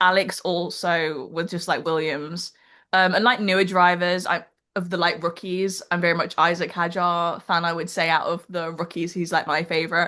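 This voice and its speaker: A woman's bright, sharp voice, fairly low in pitch, at a moderate pace against a quiet background. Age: 20s. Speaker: F1 fan and fashion content creator. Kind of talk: casual chat. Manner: animated, filler-heavy casual talk.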